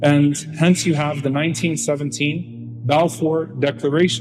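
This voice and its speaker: Music can be heard in the background. Over it, a man talks at a moderate speed. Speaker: Islamic lecturer. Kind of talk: Islamic lecture on political history.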